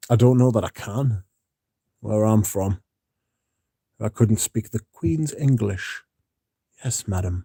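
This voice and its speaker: At a very slow pace with long, frequent pauses, a man speaks in a dark, mellow, somewhat breathy tone at a fairly low pitch with ordinary pitch variation, the sound dry and close with no echo. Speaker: fragrance content creator. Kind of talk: livestream chat. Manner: deliberately slowed, careful pronunciation.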